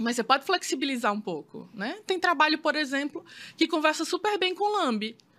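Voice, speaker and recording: A woman speaks in a raised, projected voice with a high pitch and a bright, sharp tone. Her pace is fairly quick and her pitch swings very widely. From Brazil, Maceió, Alagoas. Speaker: photographer. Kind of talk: casual interview chat.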